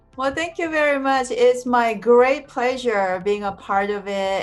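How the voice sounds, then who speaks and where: Music plays in the background. Over it, a woman talks with ordinary pitch variation. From South Korea. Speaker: animator and film professor. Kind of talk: interview. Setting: video call.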